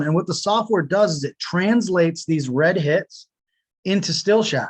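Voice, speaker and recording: A man talks at a high pitch with ordinary pitch variation in a dry, close sound with no echo. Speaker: product demo presenter. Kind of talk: webinar software demo. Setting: home office, webinar. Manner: fast.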